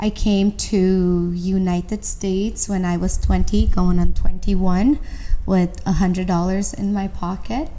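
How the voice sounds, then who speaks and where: A woman with a Romanian accent speaks at a fairly slow pace and medium pitch in a dark, mellow, monotone, flat voice, with audible room echo. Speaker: entrepreneur. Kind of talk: interview.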